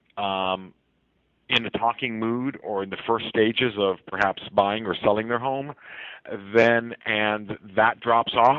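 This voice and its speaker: With a normal speaking voice, a man talks at a medium pitch and ordinary pitch variation. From US West Coast, San Francisco. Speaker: realtor. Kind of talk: interview. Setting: radio show.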